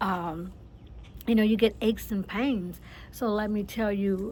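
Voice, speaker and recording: A somewhat breathy woman speaks at a fairly slow pace with fairly even intonation. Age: 60s. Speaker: author and lifestyle vlogger. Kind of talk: casual motivational talk. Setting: outdoors on a patio. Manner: conversational, with fillers and repetitions.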